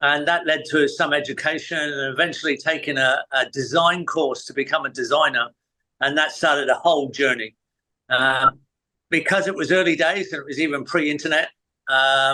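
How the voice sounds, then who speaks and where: At a moderate pace, a man with a fairly high pitch and a bright, sharp tone speaks in fairly even intonation. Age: 60s. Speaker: permaculture designer and teacher. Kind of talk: interview. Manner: halting, many fillers.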